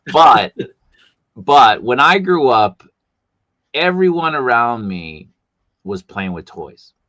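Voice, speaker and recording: Very slow speech in a Boston accent, with a bright, sharp tone, very wide pitch swings, big swings in loudness, and long, frequent pauses. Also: man, medium pitch for a man. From US, Boston. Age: 50s. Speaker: streamer host. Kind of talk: casual interview chat. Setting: live stream.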